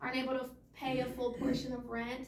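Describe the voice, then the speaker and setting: At a fairly quick pace, a woman speaks in a high pitch with audible room echo. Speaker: case manager at a youth homelessness nonprofit. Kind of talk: presentation at a meeting. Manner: fast.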